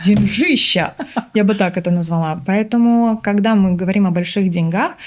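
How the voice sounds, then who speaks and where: A woman's medium-pitched voice, animated in tone, with ordinary pitch variation. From Uzbekistan (Tashkent). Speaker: body language expert and business trainer. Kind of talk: interview conversation.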